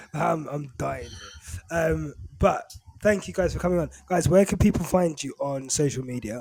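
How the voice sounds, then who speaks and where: With noticeable background noise behind him, a man speaks at a fairly high pitch with ordinary pitch variation. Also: moderate pace. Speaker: podcast host. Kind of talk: casual chat.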